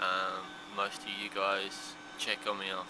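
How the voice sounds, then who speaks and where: A man speaks in a fairly low pitch with an Australian accent. Noticeable background noise is present. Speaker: vlogger and stroke patient. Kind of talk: casual video vlog update. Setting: hospital room, handheld camera. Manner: halting, with self-corrections.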